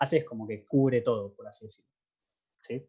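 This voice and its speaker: Very fast and somewhat breathy, a man talks in a dark, mellow tone. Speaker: math teaching assistant. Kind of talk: lecture.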